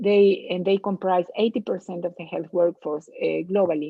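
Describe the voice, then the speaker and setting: A woman speaks with a Latin American accent. Her pitch is fairly low, with ordinary variation. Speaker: public health expert. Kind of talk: lecture. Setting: webinar. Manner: halting, many fillers.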